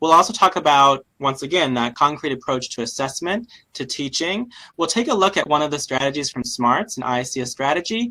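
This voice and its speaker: The intonation is lively. The pace runs fairly quick. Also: man. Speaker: webinar presenter for education nonprofit. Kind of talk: webinar presentation. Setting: online webinar. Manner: fast.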